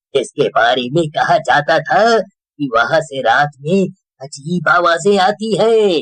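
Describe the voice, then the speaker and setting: A man's cartoonish character voice, high in pitch and lively in intonation, at a fairly slow pace with hardly any pauses. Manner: slow, solemn.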